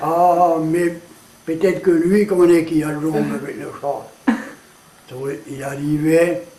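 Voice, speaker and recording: Very slowly and with long, frequent pauses, a high-pitched man speaks with fairly even intonation and big swings in loudness, amid noticeable background noise and audible room echo. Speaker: storyteller. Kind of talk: interview.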